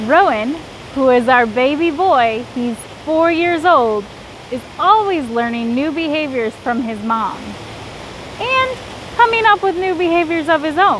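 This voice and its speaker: A woman's high voice with very wide pitch swings, a fairly slow pace, long and frequent pauses, and noticeable background noise. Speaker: zoo primate keeper. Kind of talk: educational explanation for kids. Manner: friendly, clear, informative.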